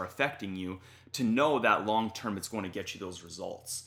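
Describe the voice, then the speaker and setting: A man with a Canadian accent speaks at a fairly low pitch in a bright, sharp tone with ordinary pitch variation, on a very clean recording with a silent background. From Canada. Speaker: YouTuber and fitness content creator. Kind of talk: casual interview. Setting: in person with hosts.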